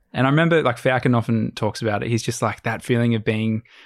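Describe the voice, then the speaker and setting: A man with an Australian accent, medium pitch, at a very fast pace. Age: 20s. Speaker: adventure videographer and sailor. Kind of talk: casual chat.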